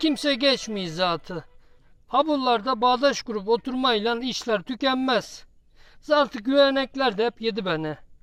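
Speech comes at a fairly slow pace in an Eastern Black Sea accent. The background is quiet. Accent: Giresun dialect. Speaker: poet. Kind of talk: poetry reading.

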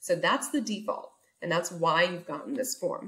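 Her pitch swings very widely as the woman talks against a quiet background. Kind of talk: tutorial. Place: home room. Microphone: webcam.

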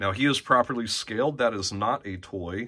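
A man's voice at a fairly slow pace, with ordinary pitch variation. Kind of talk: casual tour commentary. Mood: relaxed, enthusiastic, some laughs. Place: home room. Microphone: phone near.

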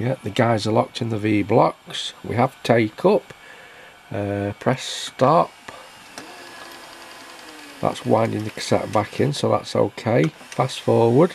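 The voice moves at a slow pace with long, frequent pauses and ordinary pitch variation. Its tone is slightly mellow, with vocal fry. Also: man, fairly low pitch for a man.

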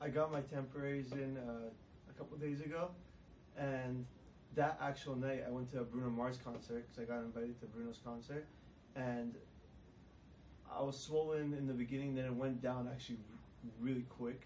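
A man talks at a moderate pace and medium pitch, with little pitch movement. His tone is slightly mellow, and room echo is audible.

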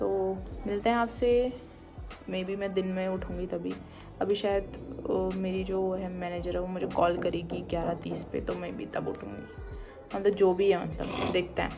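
With clear music in the background, a woman speaks at a moderate pace, leaving long, frequent pauses. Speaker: daily vlogger. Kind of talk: casual vlog chat. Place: home room. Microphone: phone near.

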